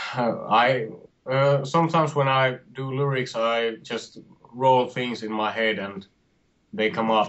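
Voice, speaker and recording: A man with a Finnish accent, medium pitch, ordinary pitch variation and a very slow pace. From Finland. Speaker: metal band singer. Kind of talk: interview. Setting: video call. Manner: halting.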